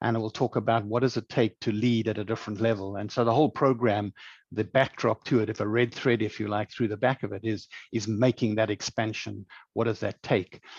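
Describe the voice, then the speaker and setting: A man with a South African accent talks at a fairly quick pace in monotone, flat intonation, with a dry, close sound and no echo. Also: medium pitch for a man, quiet background. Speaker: leadership programme director, former chief executive. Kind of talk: webinar presentation. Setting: online webinar.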